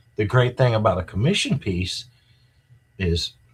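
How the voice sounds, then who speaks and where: On a very clean recording with a silent background, a somewhat breathy voice with an American accent speaks at a moderate pace with ordinary pitch variation. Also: man. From rural US. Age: 60s. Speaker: art collector. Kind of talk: interview. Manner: casual, halting with fillers.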